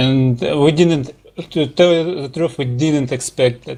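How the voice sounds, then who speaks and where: A man with a Russian accent talks at a very slow pace with fairly even intonation. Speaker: gaming team leader. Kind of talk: interview. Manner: halting.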